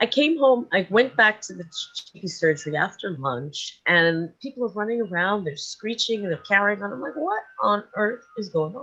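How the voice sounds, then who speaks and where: A woman speaks at a moderate pace with a New York accent and lively intonation. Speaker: sleep and dream coach. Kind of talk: interview.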